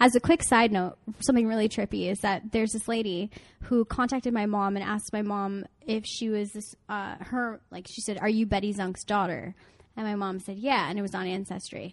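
Against a quiet background, a woman speaks in an ordinary speaking voice at medium pitch. Her pace is fairly quick and her intonation fairly even. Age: 20s. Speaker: relationship coach. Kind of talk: casual chat. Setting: outdoors.

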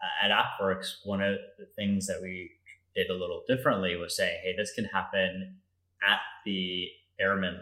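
A man speaks at a moderate pace with an American accent, recorded very cleanly against a silent background. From Colorado, US (Denver). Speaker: Air Force veteran and defense contracting consultant. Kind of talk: interview.

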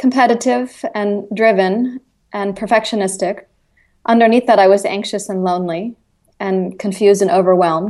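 An unremarkable speaking voice from a woman: moderate pace, medium pitch, ordinary pitch variation. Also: quiet background. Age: 40s. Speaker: author and yoga-based eating disorder recovery coach. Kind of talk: interview.

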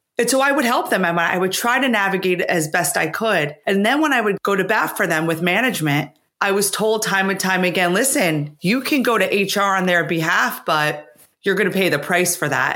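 Medium in pitch, a woman's unremarkable speaking voice moves at a moderate pace with lively intonation and very even loudness. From US, blue-collar Italian immigrant family. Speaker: author, former finance executive. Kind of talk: interview.

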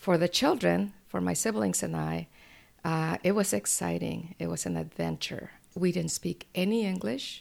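This woman has a Spanish accent and a very deep, low pitch with vocal fry. Her pitch swings very widely. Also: moderate pace. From Mexico, moved to Washington State at 12. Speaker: local politician. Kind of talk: interview. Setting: library. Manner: halting, many fillers.

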